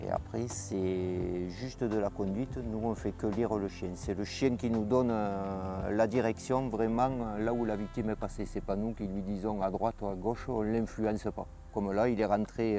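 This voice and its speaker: A man with a fairly low pitch speaks at a moderate pace and fairly even intonation, with music in the background. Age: 50s. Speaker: volunteer firefighter and dog handler. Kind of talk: interview testimony and on-site explanation. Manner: hesitant, frequent filler euh.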